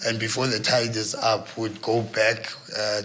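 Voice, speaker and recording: Noticeable background noise and audible room echo surround a man who speaks at a fairly slow pace in a South African accent with monotone, flat intonation. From South Africa, KwaZulu-Natal (Port Edward), from Eastern Cape. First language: isiXhosa. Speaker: news camera operator and video journalist. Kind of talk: podcast interview. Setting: studio. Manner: relaxed, hesitant with fillers.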